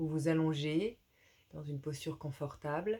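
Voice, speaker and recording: Calm and soft-spoken, this voice moves at a fairly slow pace. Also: woman. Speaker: yoga teacher. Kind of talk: guided yoga class. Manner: calm, hesitant with fillers.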